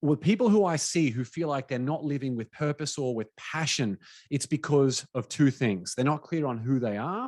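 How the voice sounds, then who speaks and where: In an Australian accent, a man talks with an animated tone and lively intonation at a moderate pace. The sound is dry and close with no echo, against a quiet background. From Australia, Brisbane. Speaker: business coach and podcast host. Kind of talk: webinar presentation.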